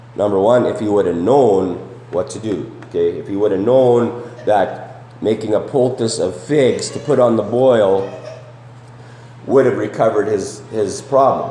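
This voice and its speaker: A man speaks in a medium pitch. Noticeable background noise and audible room echo surround him. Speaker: preacher. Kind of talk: sermon. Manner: conversational, many fillers and repetitions.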